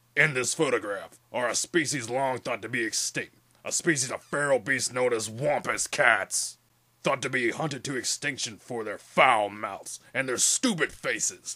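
A man speaks at a moderate pace and medium pitch. The recording is very clean, the background silent. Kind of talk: mock documentary narration. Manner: deadpan, solemn.

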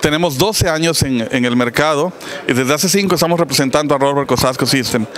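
Over light background noise and with dry sound and no echo, a man talks at a moderate pace with ordinary pitch variation. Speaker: company sales manager. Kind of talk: interview answer. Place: hall. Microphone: handheld.

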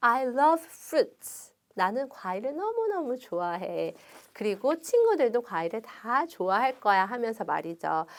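On a very clean recording with a silent background, a woman speaks at a fairly slow pace with a high pitch. Her tone is animated and her pitch swings very widely. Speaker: children's English teacher. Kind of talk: storybook reading lesson for children.

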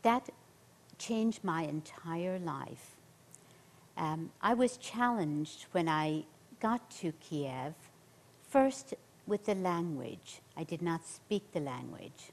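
With an Irish accent, the speaker moves at a very slow pace with long, frequent pauses and lively intonation. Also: woman, fairly low pitch for a woman. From central Ireland. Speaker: nurse, missionary; interview guest. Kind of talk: interview, personal testimony. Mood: earnest testimony. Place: studio.

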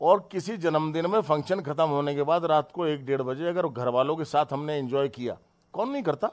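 An animated man with a fairly high voice speaks with hardly any pauses. His pitch varies in an ordinary way, and the background is quiet. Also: moderate pace. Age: 50s. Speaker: politician. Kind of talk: heated statement to the press. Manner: animated, indignant. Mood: defensive, indignant. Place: home room. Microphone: handheld.

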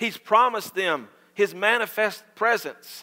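A man speaks at a fairly slow pace in a raised, projected voice with a bright, sharp tone. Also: quiet background. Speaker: pastor. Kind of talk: sermon. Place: church.

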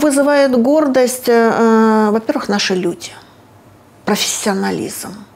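A woman with a fairly high pitch speaks at a very slow pace, leaving long, frequent pauses. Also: ordinary pitch variation. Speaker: medical researcher. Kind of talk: interview. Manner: halting. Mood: calm, serious. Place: office. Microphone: lapel.

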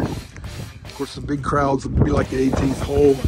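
Loud noise fills the background. The sound itself is dry and has no echo. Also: man. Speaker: mock race announcer. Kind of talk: casual vlog chat. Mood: joking, laughing. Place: street. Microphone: phone near.

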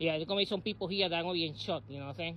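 There is noticeable background noise behind this man's high-pitched voice, though the sound itself is dry with no echo. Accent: American. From New York City (South Bronx); New York City. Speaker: vlogger and former local election candidate. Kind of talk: casual vlog monologue. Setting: outdoors. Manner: halting, with many repetitions and fillers.

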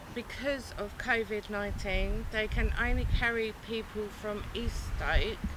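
A woman's fairly even intonation, dry sound with no echo, and noticeable background noise. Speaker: travel vlogger. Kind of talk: casual vlog chat. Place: station.

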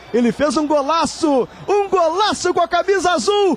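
A man's shouting at extremely high pitch and a fairly slow pace, the sound dry with no echo. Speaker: radio sports commentator. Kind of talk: live football commentary. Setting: stadium broadcast, live radio. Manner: dramatic, passionate and partisan, building the feeling of a historic comeback. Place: booth.

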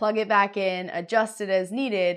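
A woman speaks at a medium pitch and a moderate pace. Her pitch variation is ordinary.

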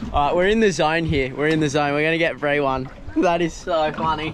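Over faint background noise, a man with a fairly high pitch speaks with ordinary pitch variation. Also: fairly quick pace.

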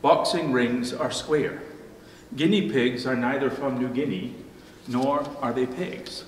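A man speaks at a fairly slow pace with ordinary pitch variation, and the room echo is audible. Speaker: pastor. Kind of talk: sermon. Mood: light humorous wordplay. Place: church.

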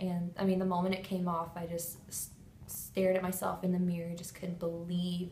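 A woman's fairly low, somewhat breathy voice, monotone and flat in intonation, at a moderate pace, with audible room echo and light background noise. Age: 20s. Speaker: patient. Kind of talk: testimony. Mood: emotional, grateful. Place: office. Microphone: phone near.

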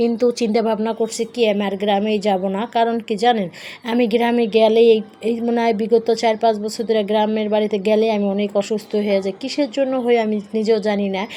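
Against noticeable background noise, a woman speaks with a fairly high pitch in a monotone, flat intonation. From rural Bangladesh. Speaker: vlogger. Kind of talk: casual vlog narration. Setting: in a car.

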